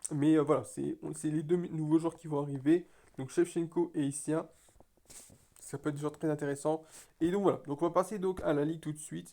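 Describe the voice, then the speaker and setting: Pausing long and often, a man speaks at a moderate pace in a fairly high, dark, mellow voice with monotone, flat intonation. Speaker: mobile game YouTuber. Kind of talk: casual gaming commentary. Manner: halting.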